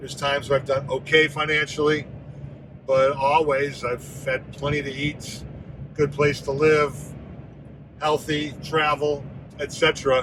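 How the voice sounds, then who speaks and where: Flat, monotone speech at a fairly slow pace, long and frequent pauses, noticeable background noise. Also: man, fairly high pitch for a man. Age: 60s. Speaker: vlogger. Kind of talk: personal vlog monologue. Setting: in a car.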